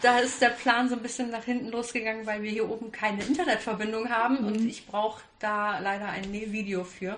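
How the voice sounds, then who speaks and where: Noticeable background noise surrounds a woman with a fairly high pitch. She talks at a fairly quick pace with hardly any pauses and fairly even intonation. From Kassel, Germany. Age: 30s. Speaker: hobby sewist. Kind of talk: casual interview. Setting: sewing weekend retreat.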